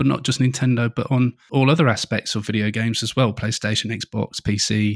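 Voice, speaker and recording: The recording is very clean with a silent background and a dry, close sound without echo, as a man talks at a moderate pace and medium pitch with fairly even intonation. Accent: English. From England. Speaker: podcast host. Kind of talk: casual chat.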